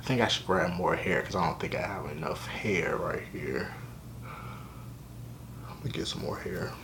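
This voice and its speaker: Whispering with long, frequent pauses, a man speaks over noticeable background noise. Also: moderate pace. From Richmond, Virginia. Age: 20s. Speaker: college student, hair vlogger. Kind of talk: casual hair tutorial talk to camera. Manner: casual, conversational.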